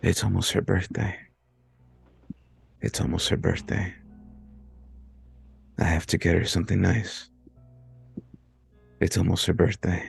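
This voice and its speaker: A soft-spoken man in a put-on character voice, very deep and low, raspy and robotic, at a moderate pace with long, frequent pauses and faint music behind. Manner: mumbling, murmuring.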